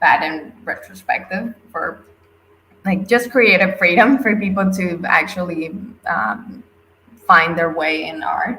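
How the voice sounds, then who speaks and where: A woman with a non-native accent speaks very slowly at a medium pitch, her tone bright and sharp and her pitch variation ordinary. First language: not English. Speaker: NFT artist. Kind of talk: interview. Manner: halting.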